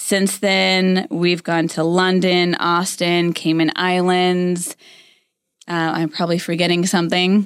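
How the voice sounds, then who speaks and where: The speech is very slow, with very even loudness and a monotone, flat intonation. The recording is very clean, with a silent background. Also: woman, fairly low pitch for a woman. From Florida, St. Petersburg. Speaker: podcast co-host, recruiting business owner. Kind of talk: casual chat.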